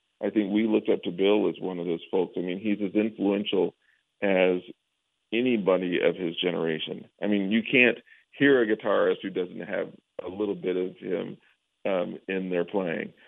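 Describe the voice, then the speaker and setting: Here is an unremarkable speaking voice from a man with an American accent and a fairly low pitch. He talks at a moderate pace with fairly even intonation. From Denver, Colorado. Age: 50s. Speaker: jazz musician and professor. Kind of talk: casual interview.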